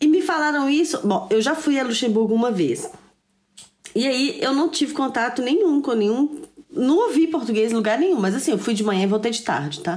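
The woman talks fairly quickly, her high pitch swinging very widely. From Brazil. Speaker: podcast co-host. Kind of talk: casual chat.

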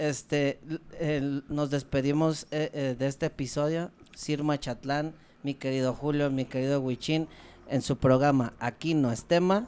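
Over a very clean recording with a silent background, a man with a Mexican accent talks fairly slowly in a fairly high voice with fairly even intonation. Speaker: podcast co-host. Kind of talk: casual chat.

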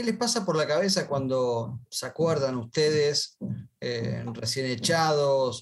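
A man speaks at a fairly slow pace. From Argentina. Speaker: podcast host, franchise consultant. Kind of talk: interview. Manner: animated.

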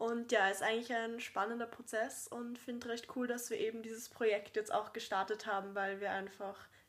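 A woman with an unremarkable speaking voice talks at a fairly high pitch with fairly even intonation. The recording is very clean, with a silent background. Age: 20s. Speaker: actress and podcast co-host. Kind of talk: casual chat.

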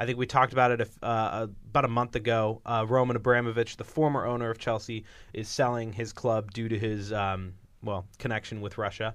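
Fairly quick in pace, a man speaks with a plain, everyday voice at medium pitch. His intonation is fairly even, and the background is quiet. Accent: American. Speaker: podcast host, student. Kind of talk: casual chat. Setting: studio. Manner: nervous, flustered.

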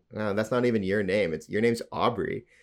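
A man with an unremarkable speaking voice talks fairly quickly at a fairly low pitch, keeping his intonation fairly even. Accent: Canadian. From Alberta, Canada. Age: 30s. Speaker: podcast co-host. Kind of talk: casual comedic banter.

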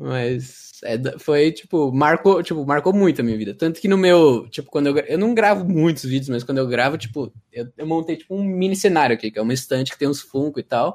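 An unremarkable speaking voice from a man, fairly high in pitch, fairly quick, with lively intonation. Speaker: former game moderator and YouTuber. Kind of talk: casual chat. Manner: casual slangy.

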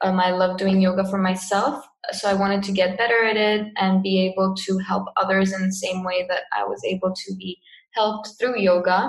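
A woman in a Cypriot accent, medium pitch, monotone, flat intonation and moderate pace. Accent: Cypriot Greek English. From Cyprus. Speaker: yoga teacher and online marketer. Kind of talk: casual interview.

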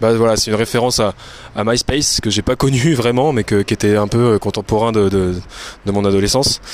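A man speaks at a medium pitch and a fairly quick pace, with ordinary pitch variation. He leaves long, frequent pauses, and his loudness stays very even. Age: 30s. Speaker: fitness coach and podcaster. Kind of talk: solo monologue recorded on phone. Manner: hesitant, many fillers and repetitions.

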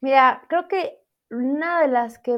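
A high-pitched woman at a very slow pace. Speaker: math teacher and TikToker. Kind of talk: interview.

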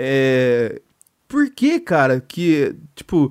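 This man's voice comes from a very clean recording over a silent background. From Minas Gerais, Brazil. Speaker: podcast host. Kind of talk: casual chat.

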